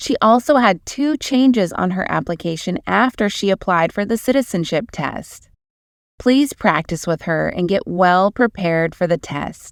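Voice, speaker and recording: A woman with a plain, everyday voice speaks at a moderate pace in a medium pitch, her intonation lively. The sound is dry and close with no echo, on a very clean recording with a silent background. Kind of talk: channel intro narration.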